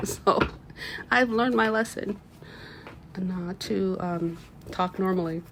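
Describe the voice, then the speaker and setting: Amid noticeable background noise, a woman speaks very slowly at a medium pitch with lively intonation and long, frequent pauses. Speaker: tarot reader. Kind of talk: tarot reading. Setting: at home, window open.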